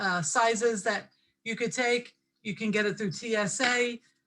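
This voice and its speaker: The woman's fairly high voice has a bright, sharp tone and ordinary pitch variation. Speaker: essential oils instructor. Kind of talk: online class lecture. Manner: filler-heavy, casual.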